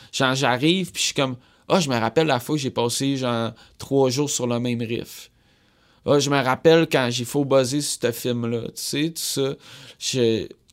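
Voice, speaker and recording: Someone with a Quebec accent speaks at a fairly slow pace and fairly even intonation on a very clean recording with a silent background. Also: man, medium pitch for a man. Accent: Québécois French. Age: 20s. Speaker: musician. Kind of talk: casual interview chat.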